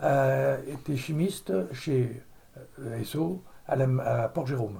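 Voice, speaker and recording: A man at a medium pitch, with audible room echo. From Normandy, France (Caudebec-en-Caux). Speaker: retired chemist, oil industry. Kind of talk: oral history interview. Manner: hesitant, many fillers.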